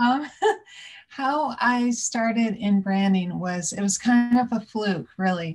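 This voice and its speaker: Somewhat breathy, a woman speaks at a very slow pace with ordinary pitch variation. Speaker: interview guest. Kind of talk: interview answer. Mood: warm, amused. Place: home room. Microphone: video call.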